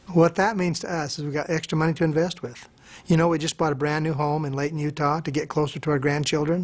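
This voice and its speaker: Man at a fairly quick pace with a fairly high pitch, a plain, everyday voice. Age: 60s. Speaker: network marketing distributor. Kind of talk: testimony.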